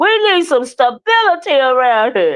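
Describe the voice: A female-sounding put-on character voice rides a high pitch with very wide pitch swings. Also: moderate pace.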